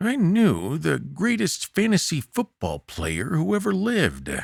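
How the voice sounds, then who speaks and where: A man performs a put-on character voice at a moderate pace. The recording is very clean with a silent background and a dry, close sound with no echo. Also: fairly high pitch for a man. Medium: read story. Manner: slow, deliberate, drawn-out pauses.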